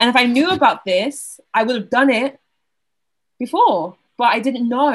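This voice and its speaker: A somewhat breathy woman with a Southern English accent, ordinary pitch variation and a moderate pace. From Southeast England. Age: 20s. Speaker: university student. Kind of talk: casual chat.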